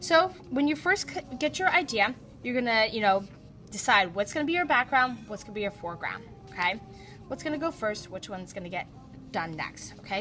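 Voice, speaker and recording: With music playing in the background, a woman speaks at a fairly quick pace in a fairly high voice. Her pitch swings very widely and her loudness rises and falls sharply. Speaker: art teacher. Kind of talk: classroom instruction. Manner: fast.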